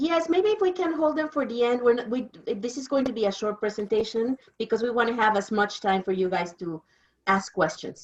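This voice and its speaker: The speaker moves at a fairly quick pace. Their intonation is lively. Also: woman, fairly high pitch for a woman. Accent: Mexican. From Mexico. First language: Spanish. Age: 50s. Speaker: interpreter. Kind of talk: presentation.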